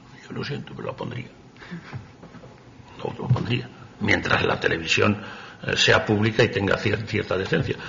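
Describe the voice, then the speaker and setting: Amid noticeable background noise, a man with a fairly low pitch talks at a moderate pace with ordinary pitch variation and long, frequent pauses. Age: 70s. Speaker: poet. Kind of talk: talk with poetry reading. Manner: halting, stumbling over words.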